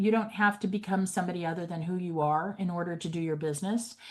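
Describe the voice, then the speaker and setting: A woman talks at a moderate pace in a plain, everyday voice. Her pitch is medium, with ordinary pitch variation. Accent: American. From grew up partly in New York City. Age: 60s. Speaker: realtor. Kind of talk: podcast interview.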